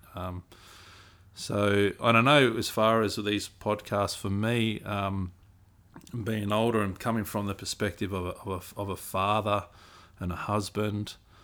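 A man's fairly low, monotone voice at a fairly slow pace, with an Australian accent, on a very clean recording with a silent background. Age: 40s. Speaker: podcast co-host, youth mentor. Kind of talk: casual chat.

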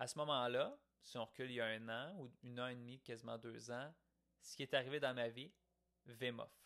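A man with a Quebec accent speaks at medium pitch with a bright, sharp tone and fairly even intonation. His pace is fairly quick, broken by long, frequent pauses. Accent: Québécois French. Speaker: podcaster. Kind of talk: reflective monologue. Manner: casual, conversational.

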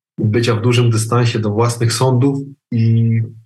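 A man speaks at a moderate pace in a somewhat breathy voice, with audible room echo. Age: 40s. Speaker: psychologist and trainer. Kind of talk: casual interview. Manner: halting.

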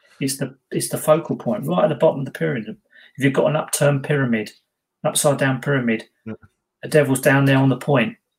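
A somewhat breathy man at a very fast pace, fairly high in pitch with ordinary variation. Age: 50s. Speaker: ghost hunter, podcast co-host. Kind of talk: casual chat.

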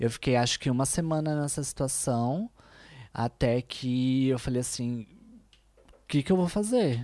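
A woman's very deep, low voice with a dark, mellow tone, at a fairly slow pace with ordinary pitch variation and long, frequent pauses, on a very clean recording with a silent background. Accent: São Paulo. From Brazil, São Paulo (east side). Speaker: influencer, make-up artist and chef. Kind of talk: casual chat. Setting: studio, streamed live.

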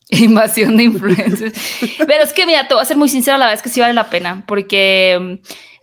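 A woman speaks fairly quickly in a fairly high voice with lively intonation and very even loudness. Noticeable background noise is present. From northern Mexico, Hermosillo (Sonora). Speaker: podcast host, film commentator. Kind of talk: casual interview chat.

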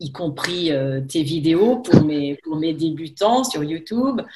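Speaking at a very slow pace, a woman uses a fairly low pitch and lively intonation. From France, Haute-Savoie near Lake Geneva. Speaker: French teacher. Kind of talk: casual chat. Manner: halting.

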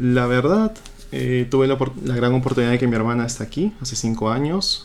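The man has an unremarkable speaking voice at a medium pitch. He talks at a moderate pace. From Peru, Trujillo. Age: 20s. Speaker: doctor. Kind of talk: interview. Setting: radio studio.

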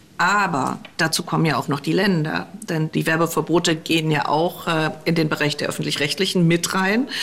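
A woman with a fairly low pitch speaks with very even loudness and fairly even intonation, with noticeable background noise behind her. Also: moderate pace. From eastern Germany. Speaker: politician. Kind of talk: interview. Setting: remote call from office.

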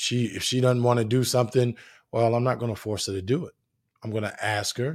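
A plain, everyday voice from a man at a medium pitch, fairly even in intonation and moderate in pace, on a very clean recording with a silent background. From New Jersey. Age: 30s. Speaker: podcast host. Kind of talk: casual monologue. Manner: relaxed, filler-heavy.

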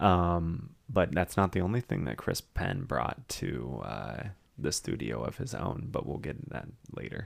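A man's very deep, low voice with vocal fry and very wide pitch swings, on a very clean recording with a silent background. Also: fairly slow pace. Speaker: podcast co-host. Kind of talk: casual chat.

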